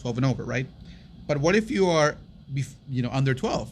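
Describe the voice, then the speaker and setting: A somewhat breathy man speaks at a medium pitch with ordinary pitch variation. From US, Mexican-American. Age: 30s. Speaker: podcast co-host. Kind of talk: casual chat. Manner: animated.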